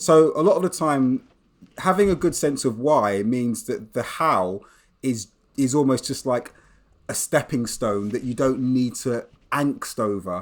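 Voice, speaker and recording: A man with a British accent and lively intonation, in a very clean recording with a silent background. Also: medium pitch for a man, fairly slow pace. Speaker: English teacher and author. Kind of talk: interview conversation. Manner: reflective, conversational.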